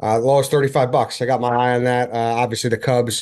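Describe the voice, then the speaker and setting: The speech moves at a fairly quick pace. The background is quiet. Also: man. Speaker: podcast host. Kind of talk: ad read. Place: home room. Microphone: webcam.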